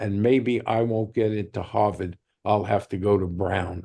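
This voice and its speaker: Pitched fairly low, a man's dark, mellow voice moves at a fairly slow pace with fairly even intonation. The background is quiet. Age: 80s+. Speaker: author and retired gynecologist.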